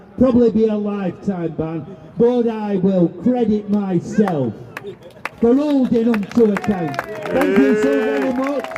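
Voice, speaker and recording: Crowd noise fills the background as a man with a high-pitched voice talks at a fairly slow pace. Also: lively intonation. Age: 70s. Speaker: campaigner. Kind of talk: public speech. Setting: outdoor demonstration.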